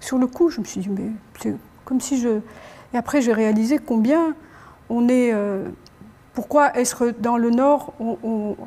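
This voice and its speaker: Speaking at a fairly slow pace, a woman has a high pitch. Her pitch variation is ordinary. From Algeria. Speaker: ethnomusicologist; guest. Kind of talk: panel discussion. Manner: halting. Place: hall. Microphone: lapel.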